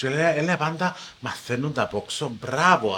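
A man with a Cypriot accent, fairly high in pitch, at a fairly slow pace. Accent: Paphos Cypriot Greek, drawn-out sing-song. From Cyprus, Paphos. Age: under 42. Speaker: TV presenter. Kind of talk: casual chat.

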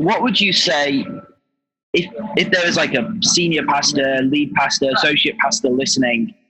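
A man's fairly high-pitched voice at a moderate pace, with ordinary pitch variation and music in the background. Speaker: podcast host. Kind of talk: interview conversation. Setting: video call while on the road. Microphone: poor line quality.

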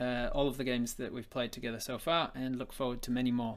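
A man with an English accent and a medium pitch talks at a very fast pace. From England. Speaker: podcast host and games master. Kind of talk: casual interview chat. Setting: live stream video call.

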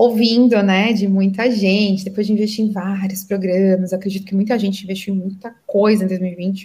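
A woman speaks in a somewhat breathy voice. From Brazil, São Paulo state (Santo André). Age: 30s. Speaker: entrepreneur and business mentor. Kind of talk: podcast interview.

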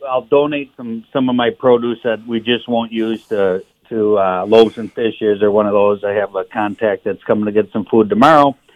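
A man with a normal speaking voice and an American accent speaks at a moderate pace and medium pitch, with fairly even intonation and hardly any pauses. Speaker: cafe owner. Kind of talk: phone interview. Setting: phone call.

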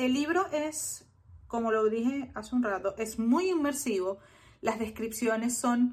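Somewhat breathy and fairly high, a woman's voice moves at a very slow pace with lively intonation. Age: 30s. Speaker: YouTuber reviewing books. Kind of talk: solo book review video. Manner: hesitant filler-laden delivery.

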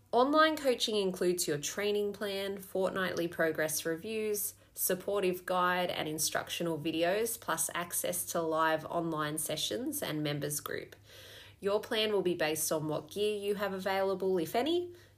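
A woman with an Australian accent, lively intonation and a moderate pace. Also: medium pitch for a woman. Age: 30s. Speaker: fitness coach. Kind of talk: promotional pitch.

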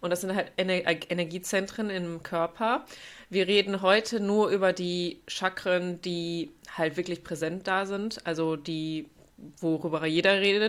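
Speaking at a fairly slow pace, a woman with medium pitch uses an ordinary speaking voice on a very clean recording with a silent background. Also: fairly even intonation. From Germany, North Rhine-Westphalia. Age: 20s. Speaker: yoga teacher. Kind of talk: casual chat.

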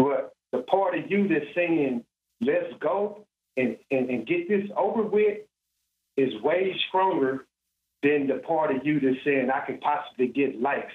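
A man talks at a fairly slow pace in a fairly high pitch. His intonation is lively, broken by long, frequent pauses. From Texas (Dallas). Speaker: incarcerated man. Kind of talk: interview testimony.

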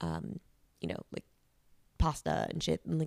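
Over a silent background on a very clean recording, a woman speaks at a fairly slow pace in a low, slightly mellow voice with vocal fry and big pitch swings. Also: dry, close sound with no echo.

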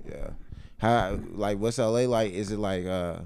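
A man with an American accent and a plain, everyday voice speaks at a fairly low pitch with fairly even intonation. The recording is very clean, with a silent background. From North Carolina. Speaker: podcast host. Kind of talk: casual chat. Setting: studio.

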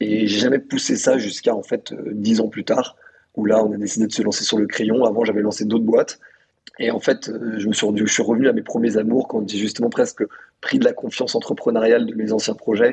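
The intonation is monotone and flat. A man delivers it at a fairly quick pace. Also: medium pitch for a man. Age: 20s. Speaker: founder of an online media outlet. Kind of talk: casual interview conversation.

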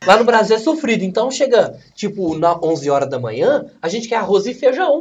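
High-pitched male voice at a moderate pace, full of very wide pitch swings. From Brazil, São Paulo state near Minas Gerais. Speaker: bodybuilding athlete. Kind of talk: casual chat.

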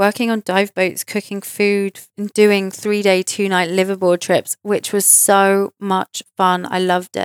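In a southern English accent, a woman speaks at medium pitch and a fairly slow pace. Her intonation is monotone and flat, on a very clean recording with a silent background. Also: dry, close sound with no echo. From southern England, near Reading. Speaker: podcast host, psychic medium. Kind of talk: personal storytelling monologue.

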